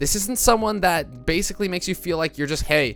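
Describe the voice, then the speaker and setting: Music plays in the background as a man talks with ordinary pitch variation. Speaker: gaming YouTuber teaching esports casting. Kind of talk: tutorial.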